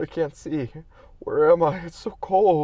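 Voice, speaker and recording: A man's put-on character voice, pitched high and delivered at a fairly slow pace. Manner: lost.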